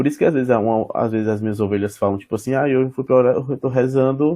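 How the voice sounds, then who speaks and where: Recorded with a dry, close sound and no echo, a man speaks at medium pitch in a dark, mellow tone with lively intonation. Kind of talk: casual chat. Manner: fast.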